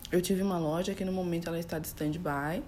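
The voice has ordinary pitch variation, and audible room echo can be heard. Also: woman. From São Paulo, Brazil. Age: 30s. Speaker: image and style consultant. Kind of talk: casual chat.

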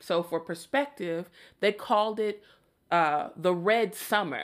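The speaker has an American accent and a fairly slow pace, with ordinary pitch variation. The recording is very clean, with a silent background. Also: woman. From Chicago, US Midwest. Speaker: podcast host and opera singer. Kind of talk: casual solo podcast monologue.

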